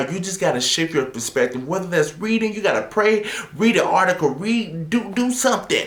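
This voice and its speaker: A man shouts loudly in an animated tone with lively intonation, keeping a moderate pace over noticeable background noise. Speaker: motivational video host. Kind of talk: motivational talk to camera. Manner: loud, yelling.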